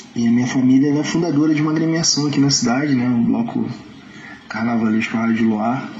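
There is audible room echo as a man speaks at a medium pitch with ordinary pitch variation. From Nova Friburgo, Rio de Janeiro state, Brazil. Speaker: samba singer. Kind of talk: interview. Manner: halting, many fillers.

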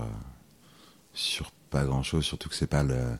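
A man with a very deep, low voice talks at a moderate pace over noticeable background noise. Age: 30s. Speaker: school supervisor and masseur. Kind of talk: casual interview.

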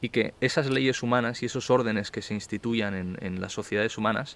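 A man speaks at a fairly quick pace, his pitch medium. He has an unremarkable speaking voice. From Barcelona, Spain. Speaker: interview guest, law student. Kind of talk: casual interview. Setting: outdoor terrace.

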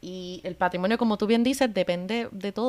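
Ordinary pitch variation comes through in a very clean recording with a silent background and a dry, close sound free of echo. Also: woman. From Puerto Rico, Cabo Rojo. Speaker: podcast co-host, anthropologist. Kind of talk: casual chat.

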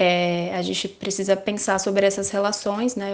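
A plain, everyday voice, with fairly even intonation at a fairly slow pace. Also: woman. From Brazil, Guarulhos (São Paulo). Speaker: journalist. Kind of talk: panel discussion. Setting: remote call.

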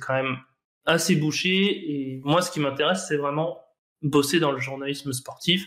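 A man's fairly high voice, a normal speaking voice, with fairly even intonation. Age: 20s. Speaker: professional poker player. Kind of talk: casual interview.

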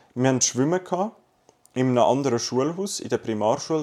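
A man with a plain, everyday voice talks at a fairly quick pace. His pitch is medium, with ordinary variation. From Zurich, Switzerland. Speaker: podcast co-host. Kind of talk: casual chat.

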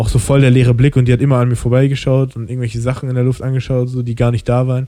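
At a very fast pace, a man speaks with a medium pitch and a dark, mellow tone. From Germany. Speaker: podcast host. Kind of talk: casual chat.

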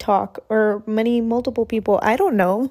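A normal speaking voice moves at a fairly slow pace with fairly even intonation. The recording is very clean, with a silent background. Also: woman. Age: 20s. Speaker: podcast host. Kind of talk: solo monologue, casual chat. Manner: casual, with frequent fillers.

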